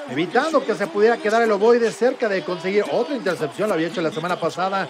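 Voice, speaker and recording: Crowd noise fills the background as a man speaks very fast in an animated tone. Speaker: sports commentator. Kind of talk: live-style sports commentary over game highlights. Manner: animated, excitable play-by-play with exclamations.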